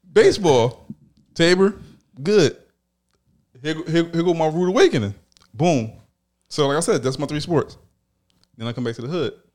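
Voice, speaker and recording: In an American accent, a man with a fairly high pitch talks at a moderate pace, broken by long, frequent pauses. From Philadelphia. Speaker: podcast host. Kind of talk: casual chat.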